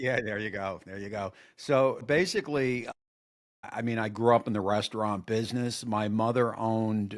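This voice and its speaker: On a very clean recording with a silent background, a man with a New Jersey accent speaks at a medium pitch and moderate pace with fairly even intonation. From New Jersey (Woodbridge area). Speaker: cooking YouTuber, former line cook. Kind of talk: casual interview chat.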